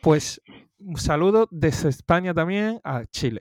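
A man with a high-pitched voice talks very slowly, his intonation lively. The recording is very clean and dry, close-miked with no echo and a silent background. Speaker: podcast co-host. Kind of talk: casual chat. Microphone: new microphone.

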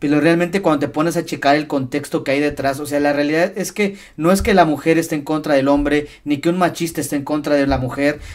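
A man talks at a very fast pace with hardly any pauses and fairly even intonation. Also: fairly high pitch for a man. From Mexico, Hidalgo (Tasquillo). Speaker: podcast host. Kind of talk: casual interview chat.

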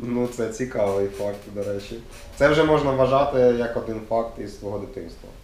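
A man talks with ordinary pitch variation, and audible room echo can be heard around him. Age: 20s. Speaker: youth center interviewer. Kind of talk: casual interview.

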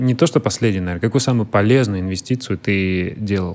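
A fairly low-pitched man with an ordinary speaking voice and ordinary pitch variation. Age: 30s. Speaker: podcast host. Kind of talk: interview.

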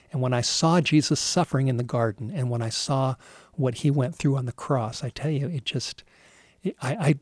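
A man with an American accent speaks at a medium pitch and fairly quick pace, somewhat breathy, with ordinary pitch variation. The recording is very clean, dry and close, with a silent background and no echo. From Southern California. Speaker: pastor. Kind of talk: sermon.

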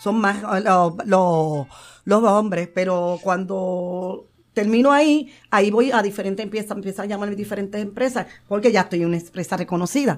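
A woman talks at a medium pitch. She has an unremarkable speaking voice. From Puerto Rico, Santurce. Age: 50s. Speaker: retired wrestler and nurse. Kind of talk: interview.

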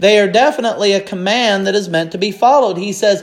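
High pitch from a male speaker. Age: 30s. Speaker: pastor. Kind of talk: sermon.

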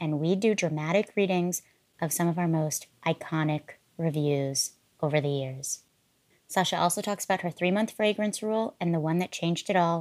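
The speaker is a woman with a plain, everyday voice and a fairly low pitch. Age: 30s. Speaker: perfume podcast host. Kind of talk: scripted narration; casual chat.

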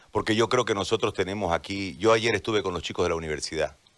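A man talks with a very deep, low pitch and vocal fry. His intonation is lively. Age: 40s. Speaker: journalist turned political candidate. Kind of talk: radio interview. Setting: radio simulcast, remote connection.

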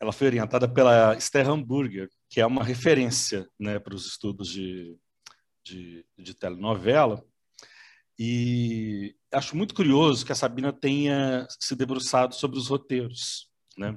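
A man with a plain, everyday voice speaks at a medium pitch and a fairly slow pace, with ordinary pitch variation. His loudness swings widely, and the recording is very clean with a silent background. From Minas Gerais, Brazil. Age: 40s. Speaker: co-host and TV researcher. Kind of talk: casual discussion.

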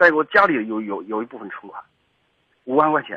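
The man talks at a fairly quick pace. His pitch swings very widely. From rural China, coal-mining area. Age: 30s. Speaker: caller. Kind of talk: phone-in consultation. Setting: phone call. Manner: halting, stammering repetitions.

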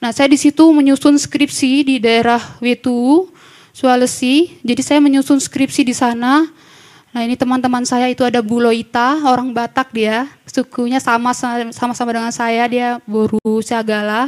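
A woman speaks at a moderate pace with a high pitch. Her intonation stays fairly even. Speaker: recent graduate giving testimony. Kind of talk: testimony. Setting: church. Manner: halting, with many fillers.

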